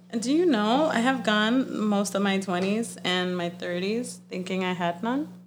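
A woman speaks at a fairly slow pace with hardly any pauses, her pitch medium and its variation ordinary. Noticeable background noise sits behind her. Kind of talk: casual chat. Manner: animated.

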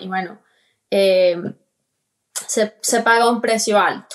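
A woman speaks very slowly. Her pitch is medium. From Colombia. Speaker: crypto investor. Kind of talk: interview.

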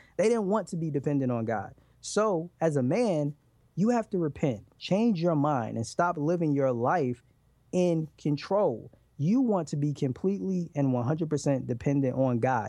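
A man's fairly high voice, dark and mellow in tone, with lively intonation at a moderate pace against a quiet background. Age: 30s. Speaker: relationship podcast host, guest. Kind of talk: interview.

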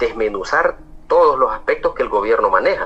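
Through noticeable background noise, a man speaks at a moderate pace in an extremely high pitch with fairly even intonation. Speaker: union or labor movement leader. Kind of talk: interview.

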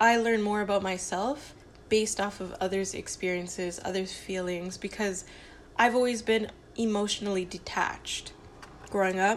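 Her medium-pitched voice carries fairly even intonation, marking the speaker as a woman. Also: moderate pace. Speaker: solo podcaster. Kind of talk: casual monologue. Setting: home kitchen. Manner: rambling, halting.

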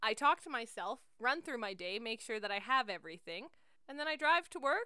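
A woman with a Canadian accent talks at a fairly quick pace in an animated, bright, sharp tone. Her pitch swings very widely. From central Alberta, Canada. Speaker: podcast host, teacher. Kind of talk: casual chat.

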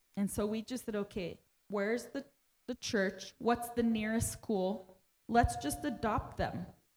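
This woman has a plain, everyday voice, fairly high in pitch. She speaks at a fairly slow pace with fairly even intonation. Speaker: pastor's wife and interpreter. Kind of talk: sermon interpreting. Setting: church.

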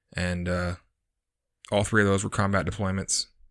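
In an American accent, a man speaks with a fairly low pitch, a bright, sharp tone and monotone, flat intonation on a very clean recording with a silent background. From Texas. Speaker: Marine veteran, podcast co-host. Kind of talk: casual interview.

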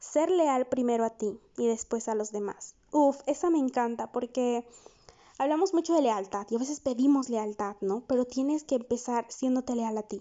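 A woman speaks at a moderate pace in a high voice. Her tone is warm. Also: ordinary pitch variation. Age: 20s. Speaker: psychologist podcast host. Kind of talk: solo podcast monologue. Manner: warm, conversational.

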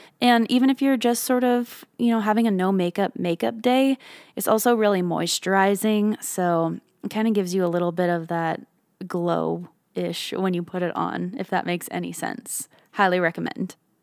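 With ordinary pitch variation and a moderate pace, a woman speaks at a medium pitch on a very clean recording with a silent background. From Canada. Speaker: podcast host and singer. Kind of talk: casual solo podcast monologue.

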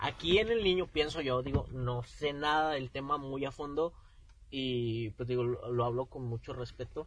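This man has an unremarkable speaking voice at a fairly high pitch. He speaks at a fairly slow pace with ordinary pitch variation. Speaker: podcast co-host. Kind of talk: casual chat.

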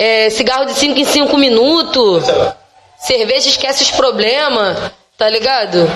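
A woman's high voice at a fairly slow pace with ordinary pitch variation, audible room echo and music in the background. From Baixada Fluminense, Rio de Janeiro (Nilópolis). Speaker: rapper. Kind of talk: casual chat.

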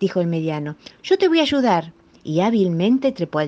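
Reading voice, unforced

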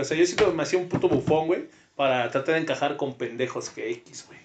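A man with a normal speaking voice talks in a fairly high pitch with ordinary pitch variation. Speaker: podcast co-host. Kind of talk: casual chat.

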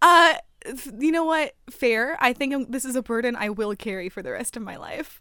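A woman speaks in a raised, projected voice at a high pitch and a moderate pace. Her intonation is lively, and her loudness swings widely. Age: 20s. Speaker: podcast co-host. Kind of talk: casual chat.

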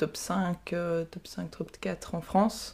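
Over a very clean recording with a silent background, a woman speaks with a dark, mellow tone, a fairly low pitch and fairly even intonation. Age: 20s. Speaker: physiotherapy student and ninja warrior competitor. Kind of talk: interview.

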